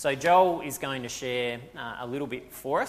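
Through noticeable background noise, a man speaks at medium pitch with fairly even intonation. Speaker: church pastor. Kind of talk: sermon. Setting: church.

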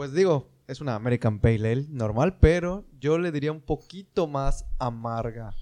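Against a quiet background, a man speaks with a dark, mellow tone. His pitch is medium, with ordinary variation. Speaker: podcast co-host. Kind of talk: casual chat.

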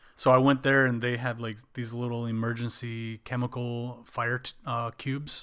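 Using hardly any pauses, a man with an American accent speaks at a moderate pace and medium pitch in a monotone, flat intonation. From Wisconsin. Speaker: podcast co-host. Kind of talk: casual chat.

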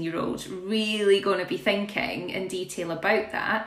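Woman's medium-pitched voice, fairly slow and fairly even, with audible room echo and noticeable background noise. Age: 30s. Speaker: podcast host. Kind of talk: casual interview chat.

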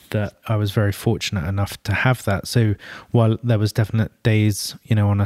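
Dry and close with no echo, in a very clean recording with a silent background, a man with a London accent speaks at a fairly low pitch in a flat monotone. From London, England. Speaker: creative director. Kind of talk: interview. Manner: halting.

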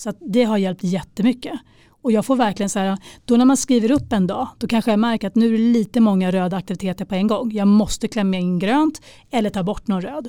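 A woman's voice with a fairly high pitch and a dark, mellow tone, ordinary pitch variation, a very fast pace, and a very clean recording over a silent background. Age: 40s. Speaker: life coach. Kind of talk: casual chat.

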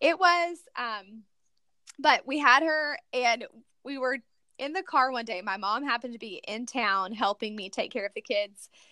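A woman with an American accent speaks at a moderate pace and a high pitch, her tone bright and sharp. Her intonation is lively, her loudness swings widely, and the sound is dry and close with no echo. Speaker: foster and adoptive mom, blogger. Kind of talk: casual interview. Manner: chatty, many filler words.

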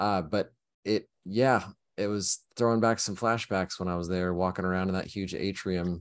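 Over a quiet background, a man with a very deep, low voice talks at a moderate pace with fairly even intonation. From Oklahoma. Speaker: cybersecurity company representative. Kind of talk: casual chat.

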